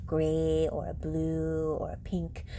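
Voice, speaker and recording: A woman's voice with audible room echo. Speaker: bag collector vlogger. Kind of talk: product review vlog. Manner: casual, chatty.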